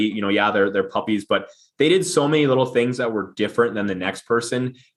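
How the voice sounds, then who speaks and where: A man speaks with a slight Minnesota accent. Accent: Upper Midwest (Minnesota) accent, slight. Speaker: business founder and CEO. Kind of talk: podcast interview. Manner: halting, many repeated words.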